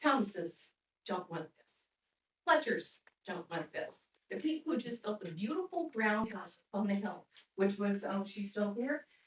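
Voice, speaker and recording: A woman with an American accent speaks at a fairly slow pace in a medium, somewhat breathy voice. Her pitch swings very widely and her loudness varies greatly. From northern Indiana. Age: 60s. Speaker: resident speaking at public comment. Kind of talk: public comment at town meeting. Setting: town council meeting room.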